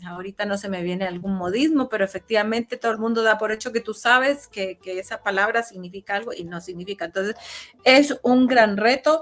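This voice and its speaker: Over noticeable background noise, a woman talks at a fairly quick pace with a fairly high pitch, ordinary pitch variation and big swings in loudness. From Chile. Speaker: interview guest. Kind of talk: casual interview. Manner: hesitant, many fillers.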